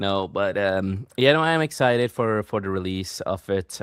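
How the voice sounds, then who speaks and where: A man's very deep, low voice with a non-native accent, the sound dry and close with no echo, over a quiet background. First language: not English. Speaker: podcast host and author. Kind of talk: casual chat. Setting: live stream. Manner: fast.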